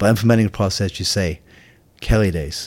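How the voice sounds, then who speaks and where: A man's fairly low-pitched voice is captured in a very clean recording with a silent background. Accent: Scottish. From Scotland. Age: 50s. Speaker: Marine veteran and firefighter. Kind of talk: casual interview. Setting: in person at host's home.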